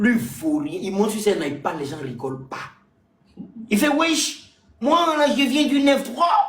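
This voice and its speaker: An animated man with an Ivorian accent, high pitch and very wide pitch swings, at a fairly slow pace with long, frequent pauses and audible room echo. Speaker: stand-up comedian. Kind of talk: casual chat. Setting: live stream.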